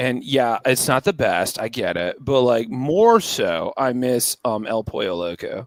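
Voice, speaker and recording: Captured in a very clean recording with a silent background and a dry, close sound with no echo, a man with an American accent talks at a fairly slow pace. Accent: California, sometimes heard as Pittsburgh. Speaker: touring performer, podcast guest. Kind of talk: casual chat. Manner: animated.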